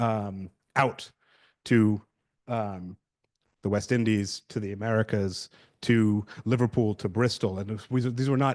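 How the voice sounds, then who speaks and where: Against a quiet background, a man with a British accent speaks in a fairly low pitch with fairly even intonation, leaving long, frequent pauses. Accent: British accent, noted by himself. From London, England. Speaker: researcher on slavery archives, conference panelist. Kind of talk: conference presentation. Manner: hesitant, many fillers and repeats.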